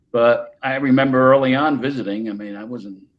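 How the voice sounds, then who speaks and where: At a moderate pace, a man talks with a New Jersey accent. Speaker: paranormal investigator. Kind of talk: casual chat. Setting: podcast.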